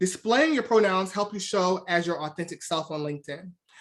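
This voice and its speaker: At a fairly quick pace, a woman talks at medium pitch with ordinary pitch variation. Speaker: recruiter / presenter. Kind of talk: webinar presentation. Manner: fast.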